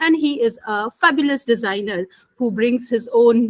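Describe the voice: A woman speaks with lively intonation, a fairly bright tone and fairly high pitch, in a dry, close recording with no echo.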